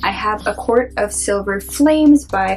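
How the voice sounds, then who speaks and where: A woman at a fairly slow pace with ordinary pitch variation, music playing in the background. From Canada. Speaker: booktuber. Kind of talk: book haul monologue to camera. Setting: home, talking to camera.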